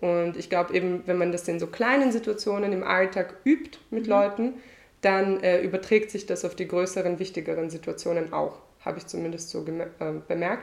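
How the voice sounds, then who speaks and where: A woman speaks in a plain, everyday voice at medium pitch with ordinary pitch variation. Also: moderate pace. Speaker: singer. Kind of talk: casual chat. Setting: at host's home on couch.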